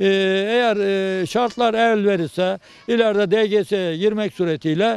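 A man speaks at a moderate pace in a high pitch. His pitch varies in an ordinary way, and the sound is dry with no echo. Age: 70s. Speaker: retired teacher and graduate; retired teacher. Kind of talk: interview. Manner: halting. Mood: proud, content. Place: garden. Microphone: handheld.

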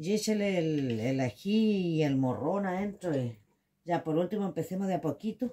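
A woman's fairly low, dark and mellow voice in a Chilean accent, at a moderate pace with lively intonation. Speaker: home cooking video host. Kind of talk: cooking tutorial. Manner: casual, chatty. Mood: playful, lively. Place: kitchen. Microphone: phone near.

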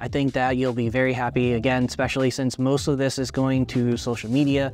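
Faint music plays in the background as a man talks at a fairly quick pace. His intonation is fairly even and his loudness very even. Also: dry sound with no echo. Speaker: camera reviewer. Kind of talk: review talk to camera. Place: home room.

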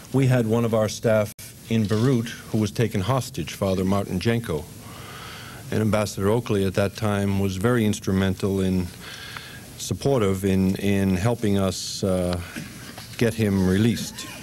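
At a moderate pace, a man speaks with long, frequent pauses and fairly even intonation at a fairly low pitch. Light background noise is present. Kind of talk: formal introduction speech. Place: hall. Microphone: podium.

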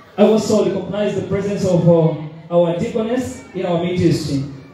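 High-pitched male voice with ordinary pitch variation, strong room echo and light background noise. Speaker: preacher. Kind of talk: sermon. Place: church.

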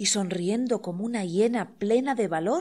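A woman speaks at a moderate pace and medium pitch with ordinary pitch variation. It's a plain, everyday voice on a very clean recording with a silent background. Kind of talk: audiobook reading of poetry and prose.

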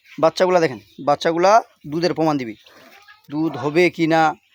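An ordinary speaking voice from a man, fairly high in pitch, with ordinary pitch variation and a dry, close sound with no echo. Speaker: cattle trader and village vlogger. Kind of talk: sales pitch.

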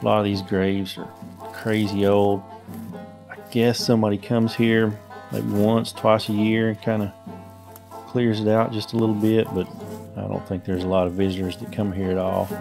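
Long, frequent pauses over clear background music. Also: moderate pace. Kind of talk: casual vlog narration. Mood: calm, curious. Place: forest.

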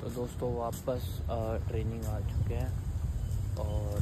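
Loud background noise sits under a man's voice. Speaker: martial arts vlogger. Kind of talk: casual vlog chat. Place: open country. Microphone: phone near.

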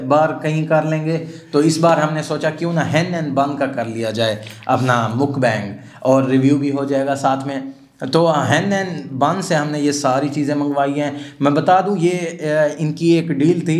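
A man's voice with fairly even intonation and audible room echo. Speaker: food vlogger. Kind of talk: casual vlog intro and food review. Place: studio.

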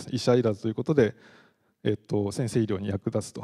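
Over a quiet background, a man with a dark, mellow tone talks at a very fast pace. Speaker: professor; university lecturer. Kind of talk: lecture. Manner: frequent fillers. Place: hall. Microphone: handheld.

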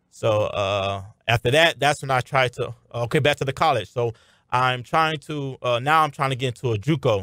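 Very clean recording, silent background, with a man speaking at a moderate pace. He has a plain, everyday voice at medium pitch with ordinary pitch variation. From Miami, Florida. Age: 20s. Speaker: arena football wide receiver. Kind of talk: radio interview. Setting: radio studio.

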